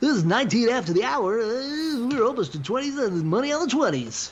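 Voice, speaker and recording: Against light background noise, a female-sounding put-on character voice speaks fairly quickly at a fairly high pitch. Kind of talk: announcer-style broadcast.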